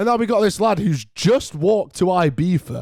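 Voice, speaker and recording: With a British accent, a man talks at a moderate pace and with lively intonation. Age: 18. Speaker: podcast host. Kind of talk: casual chat.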